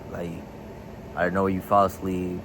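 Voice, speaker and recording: Noticeable background noise and audible room echo accompany a man with a very deep, low pitch. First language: Spanish. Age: 20s. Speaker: vlogger. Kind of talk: casual vlog.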